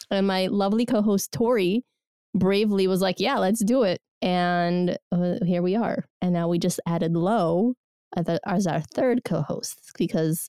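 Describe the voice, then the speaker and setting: A woman with a dark, mellow tone speaks at medium pitch and a fairly slow pace, her loudness very even and her pitch variation ordinary, in a dry, close sound with no echo. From Soviet Union (Georgia). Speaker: podcast host. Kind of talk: casual chat.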